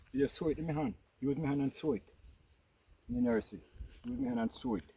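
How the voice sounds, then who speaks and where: A man with a Jamaican accent talks at a very fast pace, his tone dark and mellow. His pitch is fairly high, with ordinary variation. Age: 70s. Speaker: farmer. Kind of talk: casual chat.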